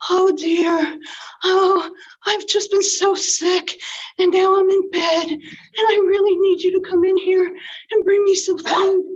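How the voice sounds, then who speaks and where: A put-on character voice, female-sounding, sits at an extremely high pitch. It moves at a fairly slow pace with monotone, flat intonation. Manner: feigned, sweetly deceptive.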